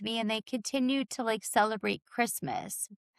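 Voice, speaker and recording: In a dry, close recording with no echo, a woman with an American accent speaks at a fairly high pitch with ordinary pitch variation. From Long Island, New York. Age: 40s. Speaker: holistic practitioner. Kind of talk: testimony.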